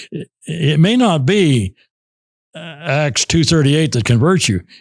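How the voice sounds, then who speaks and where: Vocal fry runs through this man's very slow speech, and his intonation is lively. The sound is dry and close, with no echo. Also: fairly high pitch for a man, very clean recording, silent background. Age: 80s+. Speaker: preacher. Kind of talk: interview answer. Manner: humorous, heartfelt.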